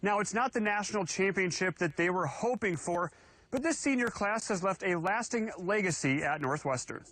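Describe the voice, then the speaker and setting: A bright, sharp tone with lively intonation and very even loudness. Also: man, high pitch for a man, moderate pace. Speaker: sports anchor and reporter. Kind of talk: TV sports news anchor and reporter read.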